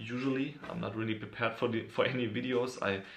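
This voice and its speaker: A German accent at a moderate pace, with audible room echo. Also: man. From Germany. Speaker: YouTuber, hip hop fan. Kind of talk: casual video monologue. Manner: halting, many fillers.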